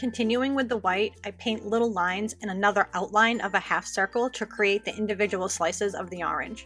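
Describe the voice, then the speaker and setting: A woman with a strong Boston accent, medium pitch, fairly even intonation and a fairly quick pace, music playing in the background. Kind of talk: nail art tutorial voice-over. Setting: home recording, new microphone.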